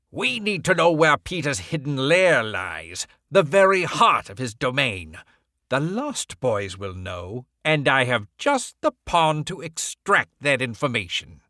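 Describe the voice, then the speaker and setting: In a put-on character voice, a man talks at a fairly slow pace with a fairly high pitch and very wide pitch swings. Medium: read story. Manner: sharp, commanding, menacing.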